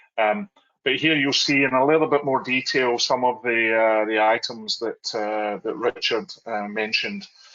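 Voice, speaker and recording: With a slight Scottish accent, a man speaks at a moderate pace and medium pitch with ordinary pitch variation. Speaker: oil and gas contracting panelist. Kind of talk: virtual panel presentation. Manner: halting, many fillers.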